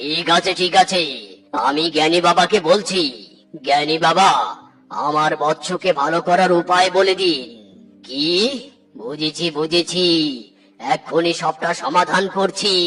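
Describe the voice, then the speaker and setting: A man's cartoonish character voice, high-pitched, at a fairly slow pace with fairly even intonation and faint music in the background. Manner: pompous, mock-solemn.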